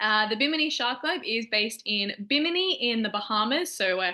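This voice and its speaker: A woman with an Australian accent speaks in a fairly high pitch with lively intonation. Her tone is upbeat. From Australia, Melbourne. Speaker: shark research lab staff. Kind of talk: educational presentation to students. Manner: casual, upbeat.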